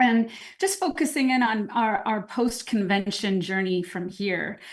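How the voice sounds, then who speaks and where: The delivery is fairly slow. A somewhat breathy quality runs through it. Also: woman, fairly high pitch for a woman, ordinary pitch variation, quiet background. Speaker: network marketing leader. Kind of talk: motivational talk on a call.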